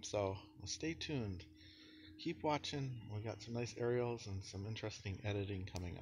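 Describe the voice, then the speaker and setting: At a moderate pace, a man with a fairly low pitch sounds somewhat breathy, with light background noise behind him. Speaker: vlogger. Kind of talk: casual vlog chat. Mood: cheerful, laughing. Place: street. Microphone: phone near.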